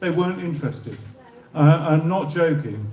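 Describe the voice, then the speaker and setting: A man's fairly high-pitched voice in a southern English accent, with audible room echo. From southern England. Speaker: former civil servant. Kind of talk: public talk.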